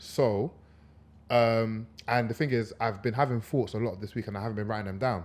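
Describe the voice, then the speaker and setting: Speaking at a fairly quick pace, a man with a London accent has a medium pitch. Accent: London multicultural English. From UK, Congolese heritage. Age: 20s. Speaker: podcast co-host. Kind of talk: casual chat. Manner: animated.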